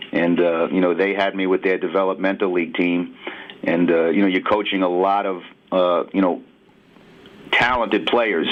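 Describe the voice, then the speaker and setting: Over noticeable background noise, a man with a New York accent talks at a moderate pace in a very deep, low pitch with fairly even intonation. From New York City, Brooklyn. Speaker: basketball assistant coach. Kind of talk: radio interview.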